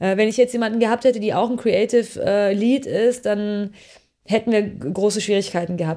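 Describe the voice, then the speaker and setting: At a moderate pace, a woman speaks in a medium pitch with a dark, mellow tone and ordinary pitch variation. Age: 30s. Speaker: media producer and company founder. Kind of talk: interview.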